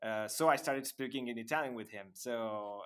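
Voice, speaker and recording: A man talks with a French accent. His pace is fairly quick. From France. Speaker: technical translator and engineer. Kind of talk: casual interview chat. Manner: halting, with repeated words.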